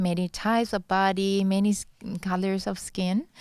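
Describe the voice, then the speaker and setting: At a moderate pace, a woman speaks in a medium pitch with a Thai accent, in a very clean recording with a silent background. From Thailand. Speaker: beauty pageant contestant. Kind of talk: interview.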